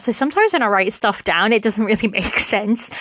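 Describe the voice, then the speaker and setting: A woman with a British accent speaks at a fairly high pitch with lively intonation. Noticeable background noise runs underneath. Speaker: podcast host. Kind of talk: casual solo podcast chat.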